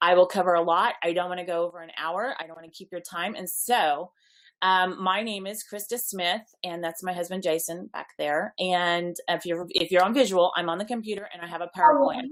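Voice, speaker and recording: A woman speaks at a medium pitch and a fairly quick pace. She has a normal speaking voice with ordinary pitch variation. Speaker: network marketing business leader. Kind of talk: online webinar presentation.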